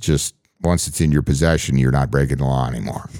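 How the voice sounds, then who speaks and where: The sound here is dry and close, with no echo. The voice belongs to a man. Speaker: podcast co-host. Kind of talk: casual chat; sales pitch.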